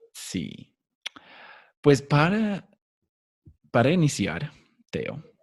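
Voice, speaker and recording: A man's somewhat breathy voice at a very slow pace, with very wide pitch swings and long, frequent pauses. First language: English (speaking Spanish). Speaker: podcast host. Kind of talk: interview. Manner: halting.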